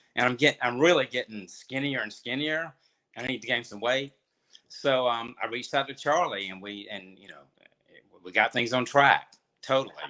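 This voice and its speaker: At a fairly quick pace, a man speaks at medium pitch with ordinary pitch variation and a bright, sharp tone. His loudness swings widely. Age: 60s. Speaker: retired financial services worker. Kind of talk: interview. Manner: halting.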